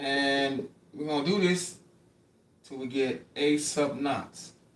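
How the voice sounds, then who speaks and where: A man with a fairly high pitch speaks at a very slow pace, using ordinary pitch variation. Noticeable background noise runs underneath. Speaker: math tutor. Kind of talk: livestream lecture. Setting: livestream with camera. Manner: casual, repetitive.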